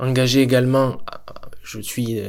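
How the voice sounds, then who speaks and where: This man has an ordinary speaking voice at medium pitch. He talks at a fairly slow pace. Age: 30s. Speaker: podcast host. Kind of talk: interview.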